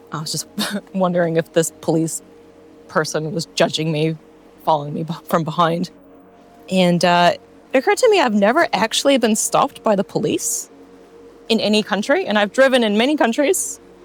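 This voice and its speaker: A woman with an American accent speaks at a medium pitch and a fairly quick pace in a relaxed tone. Long, frequent pauses break up her speech, with music in the background. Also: lively intonation. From United States. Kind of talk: casual talk to camera. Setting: outdoors. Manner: relaxed, chatty.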